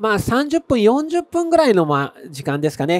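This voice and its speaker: A man at a moderate pace with very wide pitch swings, dry sound with no echo, and a quiet background. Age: 50s. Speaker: landscape photographer; presenter. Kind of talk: stage talk. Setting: stage with audience. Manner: casual, with many fillers. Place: stage.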